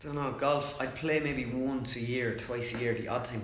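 Speaking with an Irish accent at a very fast pace, a man is heard through audible room echo and noticeable background noise. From Ireland. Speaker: comedian and impressionist. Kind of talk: casual interview chat. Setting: studio, several people around one mic.

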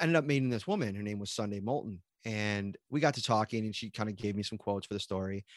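A man talks at a fairly quick pace. He has a western New York accent. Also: dry, close sound with no echo, very clean recording, silent background. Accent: western New York (Inland North). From Buffalo, western New York. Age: 30s. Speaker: sports beat reporter. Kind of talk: casual interview chat. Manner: casual, filler-heavy.

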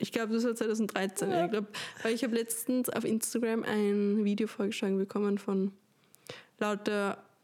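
A woman's fairly high voice, fairly slow and monotone with flat intonation. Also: very even loudness. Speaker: podcast co-host. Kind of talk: casual chat.

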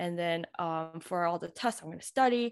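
A woman with an American accent speaks at a fairly quick pace in a plain, everyday voice, pitched fairly low. The very clean recording has a silent background and a dry, close sound with no echo. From Queens, New York. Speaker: medical resident. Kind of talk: casual interview chat.

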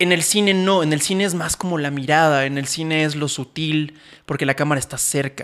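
In a very clean recording with a silent background, a man with a Mexican accent speaks at a fairly quick pace. His fairly high voice keeps a fairly even intonation. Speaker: podcast co-host and photographer/filmmaker. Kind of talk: casual chat. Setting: studio with cameras. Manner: fast.

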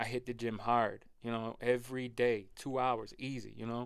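At a fairly slow pace, a man speaks in a plain, everyday voice with a medium pitch. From Rochester, New York, US. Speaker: podcast guest, weight loss story. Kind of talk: casual chat.

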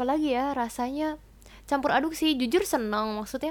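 The woman's voice shows ordinary pitch variation. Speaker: university student abroad. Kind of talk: casual chat. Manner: fast; laughing.

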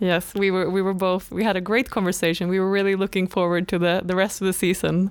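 A medium-pitched woman's voice in a Swedish accent, monotone and flat, very even in loudness, very fast with hardly any pauses. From northern Sweden. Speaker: graduate trainee podcast co-host. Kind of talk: casual chat.

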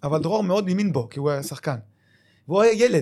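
A man talks with ordinary pitch variation. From Israel, Lod. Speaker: retired footballer and club manager. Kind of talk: casual interview.

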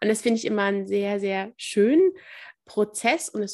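In a very clean recording with a silent background, a woman talks at a moderate pace in a plain, everyday voice. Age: 30s. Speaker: family counselor and mediator. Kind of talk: interview.

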